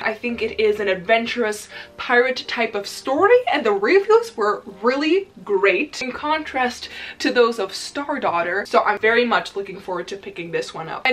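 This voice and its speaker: With music playing in the background, a woman with a Dutch accent speaks at a moderate pace and a fairly high pitch. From Netherlands. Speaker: book YouTuber. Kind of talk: casual vlog chat. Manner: enthusiastic. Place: home room.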